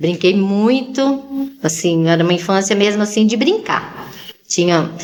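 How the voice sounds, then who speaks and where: Through noticeable background noise and audible room echo, a woman at medium pitch speaks fairly slowly with lively intonation and very even loudness. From Brazil, Campinas/Valinhos area (São Paulo countryside). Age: 60s. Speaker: podcast guest. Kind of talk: casual interview chat.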